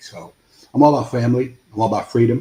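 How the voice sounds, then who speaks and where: A man with a New York accent, dark, mellow tone, somewhat breathy delivery and fairly even intonation. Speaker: congressional candidate. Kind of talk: interview.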